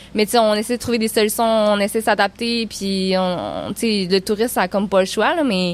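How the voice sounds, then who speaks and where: Speaking at a moderate pace, a woman with an unremarkable speaking voice holds a fairly high pitch, fairly even intonation and very even loudness. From Quebec, Baie-Comeau area. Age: 20s. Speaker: outdoor tourism entrepreneur. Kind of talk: casual chat.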